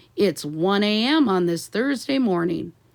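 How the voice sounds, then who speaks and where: A woman's put-on character voice at medium pitch, swinging very widely in pitch, at a moderate pace. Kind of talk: radio news bulletin. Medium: read story.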